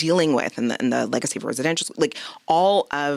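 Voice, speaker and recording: A woman with a Canadian accent speaks with ordinary pitch variation in a dry, close sound without echo. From Quebec, Canada. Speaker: podcast host, physician. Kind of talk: interview conversation.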